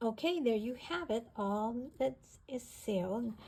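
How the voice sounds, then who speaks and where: Somewhat breathy and dark, mellow in tone, a woman's voice comes through. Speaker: craft tutorial creator. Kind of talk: tutorial. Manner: casual, chatty.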